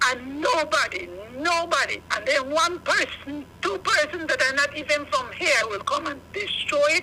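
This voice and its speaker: A woman speaks at a moderate pace in a high, raised and projected voice over noticeable background noise. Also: lively intonation, hardly any pauses. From Belize. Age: 60s. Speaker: caller. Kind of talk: phone-in complaint.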